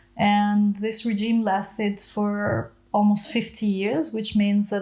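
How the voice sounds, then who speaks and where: Speaking at a fairly slow pace with an Albanian accent, a woman keeps a fairly high pitch and fairly even intonation. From Greece, born in southern Albania. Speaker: educational exchange coordinator. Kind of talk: interview.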